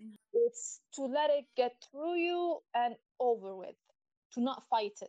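The woman's tone is dark and mellow, her pace fairly slow and her pitch variation ordinary, with a dry, close sound and no echo. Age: 30s. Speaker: guest, graphic designer and artist. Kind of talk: casual interview chat.

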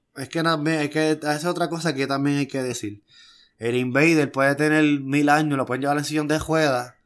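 In a very clean recording with a silent background, a man talks in a Puerto Rican accent with monotone, flat intonation. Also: fairly high pitch for a man, moderate pace. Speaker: wrestling podcast co-host. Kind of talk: casual chat.

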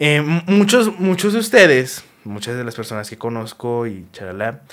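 A man's fairly high, animated voice with very wide pitch swings, in a very clean recording over a silent background. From Mexico. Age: 20s. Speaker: podcast host. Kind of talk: casual monologue. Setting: recorded on camera.

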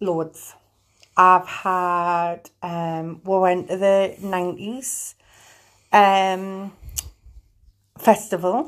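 On a very clean recording with a silent background, a woman with a northern English accent speaks very slowly at a medium pitch, her fairly even intonation broken by long, frequent pauses. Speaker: podcast co-host. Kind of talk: casual chat.

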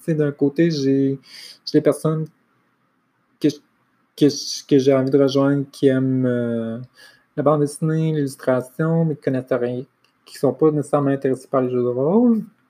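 Fairly slow, dark and mellow speech with ordinary pitch variation and long, frequent pauses. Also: woman. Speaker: podcaster and library assistant. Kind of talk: solo monologue. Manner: halting.

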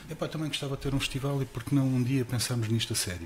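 Amid noticeable background noise, a man talks at a very fast pace with fairly even intonation. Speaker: festival promoter. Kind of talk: casual interview. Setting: live broadcast.

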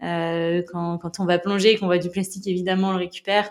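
A woman at a medium pitch, talking very fast. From western France, La Rochelle. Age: 20s. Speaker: ocean conservation activist and documentary maker. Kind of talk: casual interview. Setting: at her home in La Rochelle.

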